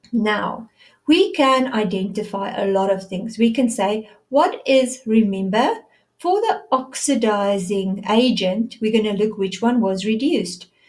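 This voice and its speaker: This woman has a fairly high pitch and a somewhat breathy voice. She speaks at a fairly slow pace with ordinary pitch variation. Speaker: science teacher. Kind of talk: lecture.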